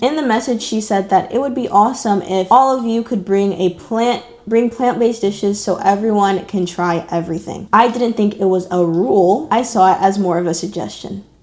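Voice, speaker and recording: Over noticeable background noise, a woman with an American accent talks at medium pitch with hardly any pauses. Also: ordinary pitch variation, moderate pace. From Texas, USA. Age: 20s. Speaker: YouTuber. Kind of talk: reading online posts aloud with commentary.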